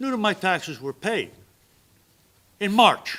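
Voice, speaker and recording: A man's high-pitched, raised and projected voice with an American accent, at a moderate pace. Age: 70s. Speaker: public commenter at city council. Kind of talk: public comment at council meeting. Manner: animated.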